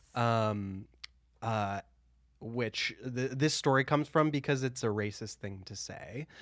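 A man with an American accent has a normal speaking voice at medium pitch, talking at a fairly slow pace with ordinary pitch variation and big swings in loudness. The recording is very clean, with a silent background. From US Midwest. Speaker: podcast co-host. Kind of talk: casual chat.

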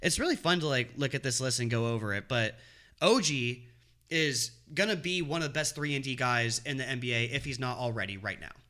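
Talking fairly quickly, a man has a medium pitch, a bright, sharp tone and ordinary pitch variation. The recording is very clean against a silent background. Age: 20s. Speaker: podcast co-host. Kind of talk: casual chat.

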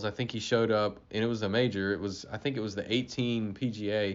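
The speaker has an American accent and talks at a moderate pace with fairly even intonation. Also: man. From US South, Florida Panhandle. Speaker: golf industry manager. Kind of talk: casual interview. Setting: trade show.

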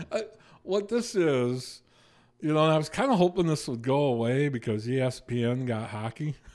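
In a normal speaking voice, a man talks at a moderate pace with lively intonation and fairly high pitch, in a very clean recording with a silent background. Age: 50s. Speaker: sports radio co-host. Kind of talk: casual chat. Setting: radio studio.

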